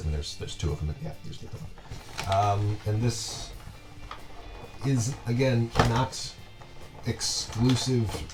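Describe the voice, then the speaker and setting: A man speaking at a fairly slow pace, with music in the background. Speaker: collector. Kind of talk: casual talk to camera. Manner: hesitant, many fillers.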